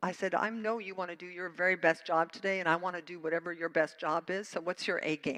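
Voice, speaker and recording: A woman talks at a very fast pace in a bright, sharp tone, with fairly low pitch and fairly even intonation. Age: 70s. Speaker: minister. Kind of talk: sermon. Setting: church.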